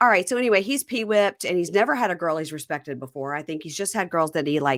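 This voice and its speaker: A woman with a slight Southern accent, fairly low-pitched, animated and very fast, with lively intonation, on a very clean recording with a silent background. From Mississippi. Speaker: podcast host. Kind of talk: casual chat.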